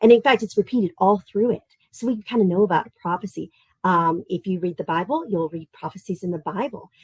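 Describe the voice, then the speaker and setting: The recording is dry and close, with no echo. A somewhat breathy voice with an American accent moves at a fairly quick pace with ordinary pitch variation. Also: woman, medium pitch for a woman. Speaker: online literature camp teacher. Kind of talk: online class for children.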